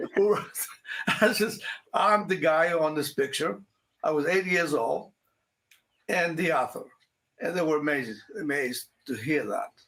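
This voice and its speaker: With vocal fry and a fairly high pitch, a man talks at a fairly slow pace with lively intonation and long, frequent pauses. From Greece. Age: 80s+. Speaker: retired author. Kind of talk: interview. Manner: halting.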